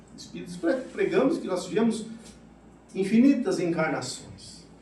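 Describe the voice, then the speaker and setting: Speech at a moderate pace amid noticeable background noise and audible room echo. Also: man. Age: 60s. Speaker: spiritist lecturer, retired military. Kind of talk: spiritist lecture.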